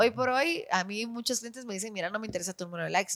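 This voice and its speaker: A woman at a very fast pace. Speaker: actress and radio presenter. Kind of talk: casual chat.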